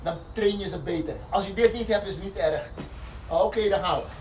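A man speaking at a fairly slow pace over light background noise. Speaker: fitness instructor. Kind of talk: exercise instruction, counting reps. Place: forest. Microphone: camera far.

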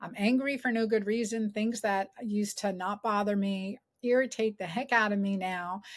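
Over a quiet background, a woman talks at a moderate pace with fairly even intonation and hardly any pauses. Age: 50s. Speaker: gynecologist and author. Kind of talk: interview. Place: home room.

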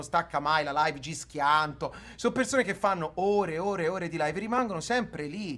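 A man speaks in an animated tone at a fairly quick pace. His pitch is high, with ordinary variation. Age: 30s. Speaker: streamer. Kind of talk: heated debate. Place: home room.

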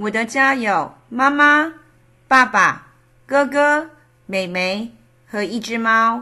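Very slowly and with long, frequent pauses, a woman speaks in a fairly high pitch with a bright, sharp tone. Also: ordinary pitch variation. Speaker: Mandarin teacher. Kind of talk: language lesson role-play.

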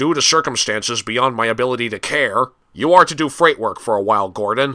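Over a silent background in a very clean recording, a man talks at a fairly quick pace and a medium pitch. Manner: curt, authoritative.

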